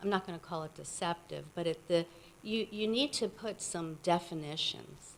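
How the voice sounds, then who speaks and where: At a moderate pace, a woman with a fairly low pitch speaks with vocal fry and ordinary pitch variation. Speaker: resident making public comment. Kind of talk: public comment at township meeting. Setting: township meeting room with microphone.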